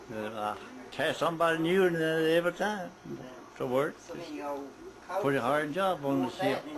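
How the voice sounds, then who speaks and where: With a strong Southern US accent, a man speaks very slowly at a fairly high pitch, using lively intonation and long, frequent pauses over noticeable background noise. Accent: thick Southern US. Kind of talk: family oral history interview answer.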